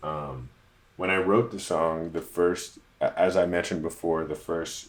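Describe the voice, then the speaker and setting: Fairly even intonation at a fairly slow pace. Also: man. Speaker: musician and producer. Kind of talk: tutorial. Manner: halting.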